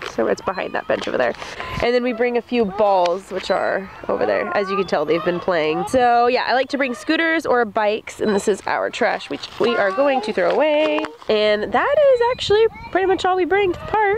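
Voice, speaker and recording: A woman's high-pitched voice with very wide pitch swings at a moderate pace, dry with no echo, over noticeable background noise. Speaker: parent vlogger. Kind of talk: casual vlog chat. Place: open country. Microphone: phone near.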